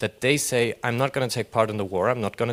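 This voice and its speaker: With a German accent, a man speaks at medium pitch with ordinary pitch variation in a very clean, dry, close recording with a silent background and no echo. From Germany. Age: young. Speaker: audience member. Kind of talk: audience question. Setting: panel session with live audience.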